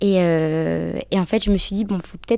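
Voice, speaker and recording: A woman's dark, mellow tone on a very clean recording with a silent background. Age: 20s. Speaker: UX design apprentice. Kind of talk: casual interview. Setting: in person. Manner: halting.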